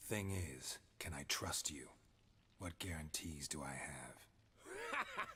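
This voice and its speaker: A man speaks in a put-on character voice, whispering at a very slow pace. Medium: video game. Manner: terse, deadpan, clipped.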